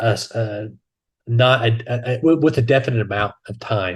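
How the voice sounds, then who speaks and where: A man speaks at medium pitch in a somewhat breathy voice. His intonation is fairly even, and the background is quiet. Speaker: podcast co-host. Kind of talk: casual chat. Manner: halting, stammering.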